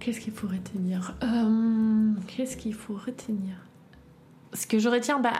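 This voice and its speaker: In a room with audible echo, a woman speaks at a fairly high pitch with fairly even intonation. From East Berlin, Germany. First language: German (speaking French). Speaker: eyewitness. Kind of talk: personal testimony. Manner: halting.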